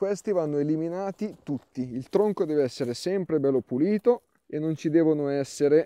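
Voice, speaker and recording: In a quiet background with a dry sound and no echo, a man speaks fairly slowly in a dark, mellow tone, his pitch swinging very widely. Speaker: gardening channel host. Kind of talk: tutorial. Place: garden.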